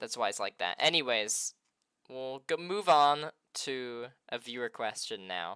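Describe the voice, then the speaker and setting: Quiet and bright, sharp in tone, a man's voice makes very wide pitch swings on a very clean recording with a silent background. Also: medium pitch for a man, dry, close sound with no echo. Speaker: interviewer on streaming channel. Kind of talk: live stream interview.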